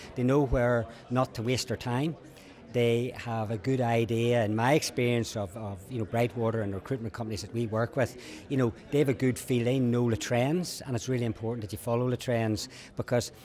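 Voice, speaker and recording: Here a man talks at a fairly quick pace. His pitch is medium, and his intonation stays fairly even. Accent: Northern Irish. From Northern Ireland. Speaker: lawyer. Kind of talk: interview. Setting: conference event. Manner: halting, with many repetitions.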